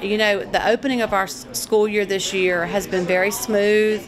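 Over noticeable background noise, a woman speaks at a fairly slow pace with ordinary pitch variation. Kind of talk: interview answer. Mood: calm, earnest. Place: hall.

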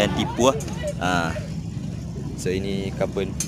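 Fairly slow speech from a man, the sound dry with no echo, amid loud background noise. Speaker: motorbike owner vlogger. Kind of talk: casual vlog chat. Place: street. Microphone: phone near.

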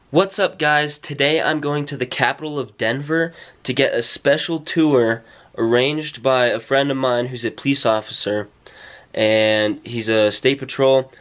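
Ordinary pitch variation from a man talking at a moderate pace. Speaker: vlogger. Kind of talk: casual vlog chat. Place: home room. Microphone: phone near.

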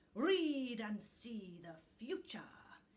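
It is a put-on character voice with hissing and very wide pitch swings. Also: female-sounding voice, fairly high pitch for a woman. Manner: hissing, defiant.

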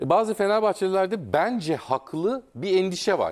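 A man's animated voice, high in pitch and fairly slow, against a quiet background. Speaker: football pundit. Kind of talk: casual chat. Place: studio. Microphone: lapel.

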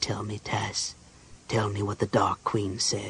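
A man's whispered, hissing put-on character voice at a fairly slow pace. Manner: hissing, insistent.

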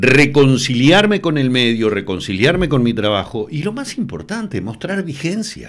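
With a Uruguayan accent, a man speaks at a moderate pace, his pitch swinging very widely over a quiet background. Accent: Uruguayan Spanish (Rioplatense). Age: 60s. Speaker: TV news presenter. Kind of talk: interview. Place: studio. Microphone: studio mic.

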